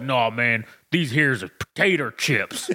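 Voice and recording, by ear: A man doing a put-on character voice, medium in pitch, with lively intonation at a moderate pace. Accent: Southern US.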